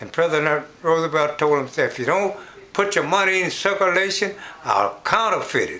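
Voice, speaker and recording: A man talks in a high voice, his loudness swinging widely. Background noise is noticeable. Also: ordinary pitch variation, moderate pace. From US South. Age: 80s+. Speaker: elderly interviewee. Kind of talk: oral history interview. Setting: at home. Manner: halting.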